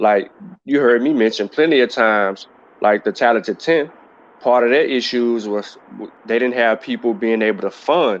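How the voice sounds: Intonation stays fairly even and the pace is moderate. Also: man.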